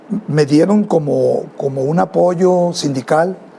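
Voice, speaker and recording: A man with a fairly high pitch and ordinary pitch variation talks against noticeable background noise. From Mexico, Culiacán, Sinaloa. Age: 70s. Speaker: music teacher and band director. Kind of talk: interview. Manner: halting, with many repetitions and fillers.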